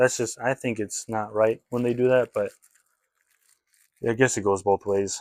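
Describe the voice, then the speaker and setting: A man's medium-pitched voice at a moderate pace, fairly even in intonation, with a dry, close sound and no echo. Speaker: trading card reseller. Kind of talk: casual collection walkthrough video. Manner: casual, hesitant with fillers.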